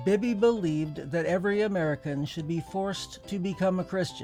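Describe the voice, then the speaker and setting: With music in the background, a man talks in a high pitch with ordinary pitch variation. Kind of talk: mock historical documentary narration.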